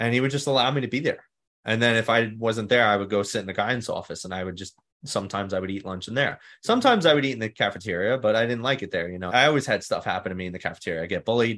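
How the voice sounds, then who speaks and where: This man talks at a very fast pace with a New York accent. His pitch is medium with ordinary variation, and the background is quiet. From New York City (Staten Island). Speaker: mindset coach, former firefighter. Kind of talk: interview.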